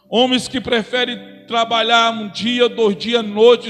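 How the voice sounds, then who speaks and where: Extremely high pitch for a man, monotone and flat in intonation, at a fairly slow pace with noticeable background noise. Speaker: preacher. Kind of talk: sermon. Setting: church.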